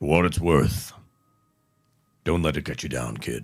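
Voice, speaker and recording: A man does a put-on character voice that is gruff and very deep and low in pitch. He speaks at a moderate pace. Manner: gruffly consoling.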